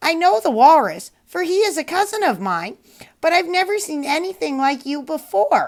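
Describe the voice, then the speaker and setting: A woman performs a put-on character voice. It is high-pitched and delivered at a moderate pace. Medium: read story.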